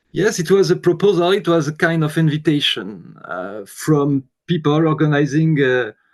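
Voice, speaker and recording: A man with a French accent, fairly high-pitched, with lively intonation, a moderate pace and hardly any pauses. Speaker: guitarist. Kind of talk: interview. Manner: halting.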